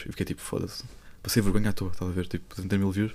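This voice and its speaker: The recording is very clean and the background silent. This man delivers his words at a very fast pace. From Lisbon, Portugal. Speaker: TikTok content creator. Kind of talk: casual chat.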